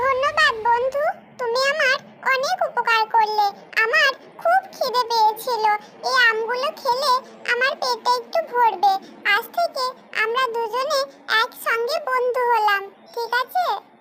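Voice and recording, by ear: A cartoonish character voice with a bright, sharp tone, ordinary pitch variation, few pauses and a fairly slow pace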